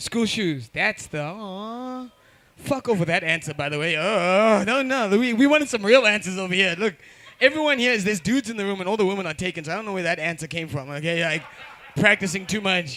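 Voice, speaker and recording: In a raised, projected voice, a man speaks with high pitch and an animated tone. His intonation is lively and his pace fairly quick. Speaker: comedy show host. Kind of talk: stand-up crowd work. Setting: stage with audience.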